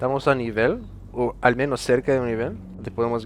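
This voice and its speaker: A man at a moderate pace with monotone, flat intonation, music in the background. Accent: Dutch. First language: Dutch (speaking Spanish). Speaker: esports player. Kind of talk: interview. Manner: halting.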